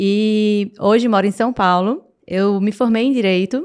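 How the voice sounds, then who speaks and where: A woman with a Paraíba accent speaks with fairly even intonation. The recording is very clean, with a silent background. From Northeast Brazil, Paraíba (João Pessoa). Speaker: entrepreneur. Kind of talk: podcast interview.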